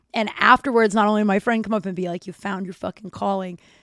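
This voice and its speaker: In a very clean recording with a silent background, a woman of medium pitch sounds animated, the sound dry and close with no echo. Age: 40s. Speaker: podcast host; comedian. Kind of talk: casual monologue.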